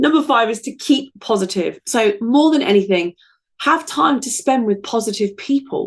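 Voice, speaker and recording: A woman speaks with an English accent and a high pitch. Her intonation is lively and her pace moderate. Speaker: podcast host. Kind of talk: casual podcast monologue.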